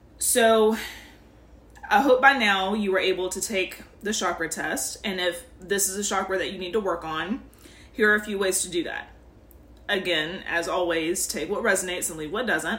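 A woman talks at a medium pitch with ordinary pitch variation and big swings in loudness. Noticeable background noise runs behind her. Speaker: spiritual podcast host. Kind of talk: guided meditation. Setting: podcast. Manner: slow, soothing, calm; warm, gentle, instructive.

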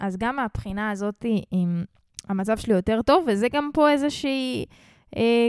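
In a very clean recording with a silent background and a dry, close sound with no echo, a woman with an unremarkable speaking voice talks at a fairly slow pace and a fairly high pitch. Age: 20s. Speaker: podcast host, rapper and music marketing coach. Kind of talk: casual monologue. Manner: casual, filler-heavy.

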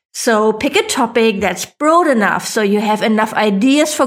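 Speaking with a German accent, a woman keeps a moderate pace. Her fairly high voice shows ordinary pitch variation. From Germany. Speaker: podcast host and online business coach. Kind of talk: tutorial, step-by-step podcast advice.

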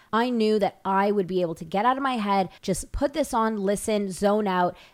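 A woman speaks in an ordinary speaking voice at a moderate pace, her medium pitch moving with ordinary variation, on a very clean recording with a silent background. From Toronto, Canada. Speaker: podcast host. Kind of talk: casual chat.

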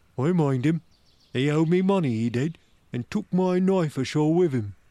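A man puts on a character voice with a fairly high pitch. He talks at a moderate pace. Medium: read story. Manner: gloomy, fearful.

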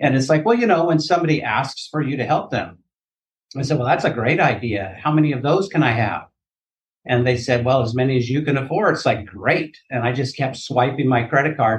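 Somewhat breathy and at a medium pitch, a man talks at a fairly quick pace with ordinary pitch variation. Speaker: annuity insurance agent. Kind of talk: podcast interview.

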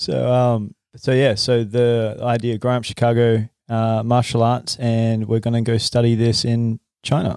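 In a dark, mellow tone, a man speaks with monotone, flat intonation and very even loudness. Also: medium pitch for a man, fairly slow pace. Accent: Australian. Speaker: podcast host and acupuncturist. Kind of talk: casual interview. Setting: in a clinic.

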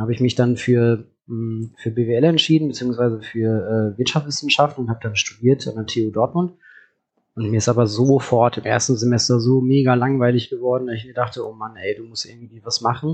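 A man talks at a fairly quick pace and a medium pitch. His intonation stays fairly even. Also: big swings in loudness. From Hagen, Ruhr area, Germany. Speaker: startup founder. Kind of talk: interview. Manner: hesitant, many fillers.

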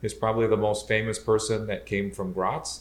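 At a moderate pace, a man talks in a medium pitch with a Midwestern American accent. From Southeast Michigan. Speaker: electrical engineer and podcast co-host. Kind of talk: casual chat. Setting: at home on the couch by the fireplace.

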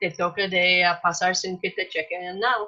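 A woman's fairly slow speech in an American accent. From US Midwest, Minnesota. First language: English (speaking Spanish). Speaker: missionary. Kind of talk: casual chat. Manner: hesitant, many fillers.

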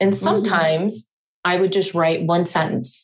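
This woman has a normal speaking voice with a fairly low pitch. She talks at a moderate pace. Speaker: podcast host. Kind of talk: casual interview.

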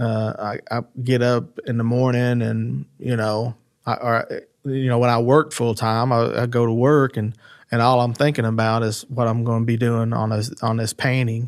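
A man speaks at a moderate pace in a medium pitch, his intonation monotone and flat, on a very clean recording with a silent background. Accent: Appalachian. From Eastern Kentucky, Floyd County. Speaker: folk artist. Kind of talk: casual interview conversation. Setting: in person, Eastern Kentucky. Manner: halting, frequent repetitions and fillers.

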